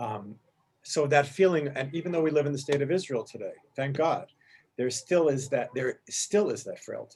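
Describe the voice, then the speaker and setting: This man's voice sits fairly high in pitch and is somewhat breathy. His pitch varies in an ordinary way. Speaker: teacher leading a text study. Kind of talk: class discussion on rabbinic texts. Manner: halting, self-correcting; fast.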